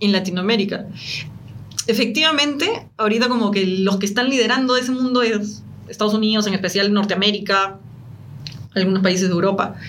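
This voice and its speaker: Pausing long and often, a woman speaks at a fairly quick pace and medium pitch, with ordinary pitch variation, very even loudness and audible room echo. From Peru. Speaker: entrepreneur. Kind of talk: interview. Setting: live stream.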